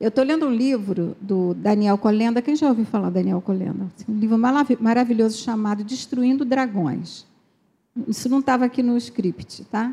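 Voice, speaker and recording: A woman with a fairly high pitch and a normal speaking voice talks at a moderate pace with ordinary pitch variation. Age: 60s. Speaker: pastor's wife. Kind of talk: sermon.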